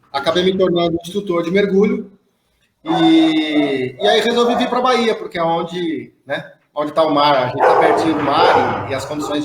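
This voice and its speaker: A man with a São Paulo accent speaks in a high voice with lively intonation. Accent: paulista. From São Paulo, Brazil. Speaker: veterinarian and dive instructor. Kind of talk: casual live stream chat.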